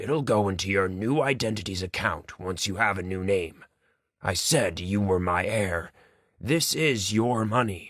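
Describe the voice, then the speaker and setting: Raspy and fairly low-pitched, a man does a put-on character voice at a moderate pace with ordinary pitch variation, on a very clean recording with a silent background. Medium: read story. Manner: weary, gentle.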